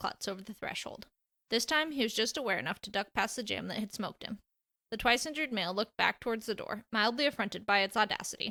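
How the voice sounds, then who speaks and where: The voice has a bright, sharp tone and moves at a very fast pace. Its sound is dry and close, with no echo. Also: woman. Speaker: fanfiction author and audiobook narrator. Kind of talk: reading aloud. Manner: soothing, sleep-inducing.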